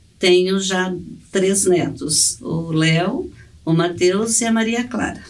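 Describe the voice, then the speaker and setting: The speech is very slow, with noticeable background noise and audible room echo. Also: woman, medium pitch for a woman, ordinary pitch variation. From Brazil, Paraná (rural, then Curitiba). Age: 60s. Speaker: church member, mother. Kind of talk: testimony. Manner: halting, with fillers.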